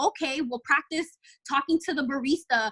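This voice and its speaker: A woman with an American accent speaks in a raised, projected voice at a high pitch. The sound is dry and close, with no echo. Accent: slight Spanish and urban LA inflection. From Los Angeles, California, Dominican family. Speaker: model and podcaster. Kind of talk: podcast interview. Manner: fast; animated.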